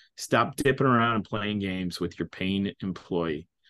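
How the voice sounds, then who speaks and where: A man talks at a moderate pace. He speaks with an American accent. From Illinois, US Midwest. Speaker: company founder. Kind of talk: interview. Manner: halting, many false starts and repeats.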